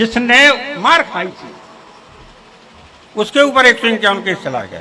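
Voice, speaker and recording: A man's raised, projected voice, high in pitch, with lively intonation and big swings in loudness over noticeable background noise. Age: 80s+. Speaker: community elder. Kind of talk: speech to local gathering.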